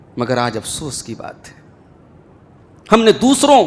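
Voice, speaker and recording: A man speaks in a passionate tone with very wide pitch swings, and noticeable background noise can be heard. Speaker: Islamic scholar delivering Friday sermon. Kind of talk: Friday sermon (khutba) to a congregation. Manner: passionate, oratorical, emphatic preaching.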